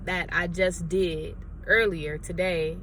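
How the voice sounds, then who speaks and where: A woman speaks in an animated tone. Audible room echo is present. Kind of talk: sermon-style vlog.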